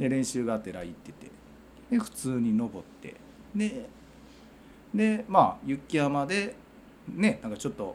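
Speaking in a Kansai accent at a fairly slow pace, a man with a fairly high pitch uses very wide pitch swings, big swings in loudness and long, frequent pauses. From Wakayama, Japan. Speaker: hiking group leader and construction site foreman. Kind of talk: casual chat.

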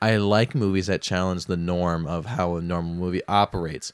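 A man speaks in a playful tone, recorded very cleanly against total silence with a dry, close sound and no echo. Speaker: podcast co-host. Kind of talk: casual comedic banter. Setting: indoor room, little echo. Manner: joking, playful, sarcastic.

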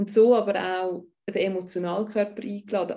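With a Swiss accent, a woman speaks at a moderate pace in a fairly high, somewhat breathy voice with a dark, mellow tone and flat, monotone intonation. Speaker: tantra bodyworker and life coach. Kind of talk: interview conversation. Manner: halting, with frequent word repetitions.

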